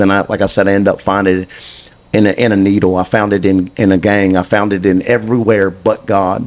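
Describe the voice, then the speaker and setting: With a Southern US accent, a man talks at a very fast pace with hardly any pauses, a fairly low pitch and monotone, flat intonation. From US South, Mississippi. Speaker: guest. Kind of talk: testimony. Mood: earnest, preaching tone. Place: studio. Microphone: handheld.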